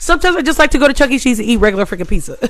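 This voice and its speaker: A loud, animated woman with a high pitch and very wide pitch swings. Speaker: livestream host. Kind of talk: casual chat.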